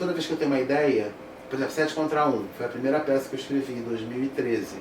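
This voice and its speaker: A man is talking. There is noticeable background noise and audible room echo. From Brazil, Niterói (Rio de Janeiro state). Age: 50s. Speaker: actor and theatre director. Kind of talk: interview conversation. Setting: studio.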